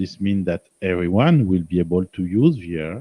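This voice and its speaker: With a French accent, a man speaks at a very slow pace. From France. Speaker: software engineer and presenter. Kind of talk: presentation. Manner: hesitant, searching for words.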